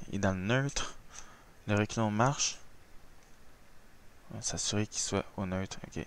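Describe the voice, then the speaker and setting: A man's fairly low voice in a Quebec accent, with a fairly slow pace, ordinary pitch variation and long, frequent pauses. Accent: Québécois French. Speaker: flight simulator gamer. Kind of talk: gameplay tutorial commentary. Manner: casual.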